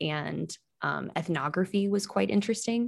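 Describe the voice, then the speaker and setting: A woman speaks with a Midwestern American accent. Her voice carries vocal fry. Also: very clean recording, silent background. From western Iowa, small town. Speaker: public radio digital producer. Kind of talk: interview.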